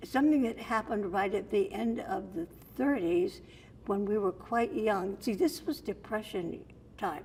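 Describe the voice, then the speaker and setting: A woman's somewhat breathy, medium-pitched voice with an American accent, a dark, mellow tone, ordinary pitch variation and a moderate pace. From Sarasota, Florida. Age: 80s+. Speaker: storyteller. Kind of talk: interview answer.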